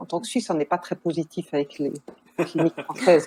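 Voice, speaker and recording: A woman with a Swiss accent at a moderate pace. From Switzerland. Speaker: nurse and family counselor. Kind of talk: podcast interview.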